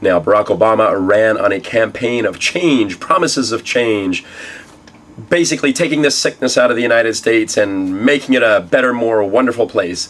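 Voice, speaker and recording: Medium pitch from a man at a moderate pace, ordinary pitch variation, and noticeable background noise. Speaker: tech news show host. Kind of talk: news show to camera.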